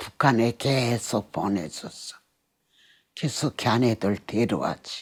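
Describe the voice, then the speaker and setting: A woman with a North Korean accent and very deep, low pitch, on a very clean recording with a silent background. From Pyongyang, North Korea. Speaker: North Korean defector. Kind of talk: interview answer.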